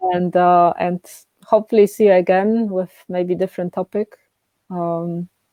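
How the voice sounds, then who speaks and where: A woman with a Polish accent and medium pitch speaks at a moderate pace in a monotone, flat intonation. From Poland. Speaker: coaching therapist. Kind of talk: casual chat. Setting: live stream.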